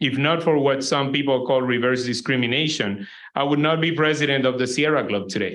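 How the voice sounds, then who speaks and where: Speaking with a Spanish accent, a man talks at a fairly quick pace with a fairly high pitch and ordinary pitch variation. His loudness is very even, and the room echo is audible. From Puerto Rico. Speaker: environmental organization president. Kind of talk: keynote lecture.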